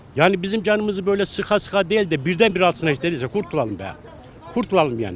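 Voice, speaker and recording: A man's high voice at a very fast pace, with lively intonation and noticeable background noise. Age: 60s. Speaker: passer-by interviewed on the street. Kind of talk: street interview.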